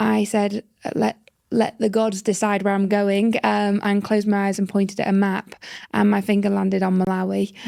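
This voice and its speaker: A woman with a British accent, medium-pitched and dark, mellow in tone, in a monotone, flat delivery at a moderate pace and very even loudness. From northern England. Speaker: social entrepreneur. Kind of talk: interview storytelling. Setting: podcast.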